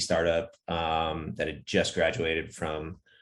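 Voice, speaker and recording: In a very clean recording with a silent background, a man talks with an American accent. His pitch is very deep and low, and his pace fairly slow. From US Northeast. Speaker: startup founder and CEO. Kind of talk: podcast interview. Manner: many filler words, hesitant restarts.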